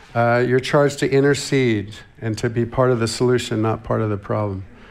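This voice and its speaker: A man with an American accent, medium pitch, ordinary pitch variation and a fairly quick pace, plus audible room echo. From US West Coast, Santa Barbara, California. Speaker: visiting church minister. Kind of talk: sermon. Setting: church.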